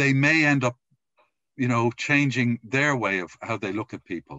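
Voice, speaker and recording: A man with an Irish accent speaks at a moderate pace with ordinary pitch variation, recorded with a dry sound with no echo against a quiet background. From Ireland. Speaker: podcast host; podcast interviewer. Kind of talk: interview. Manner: halting. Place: home room. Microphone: video call.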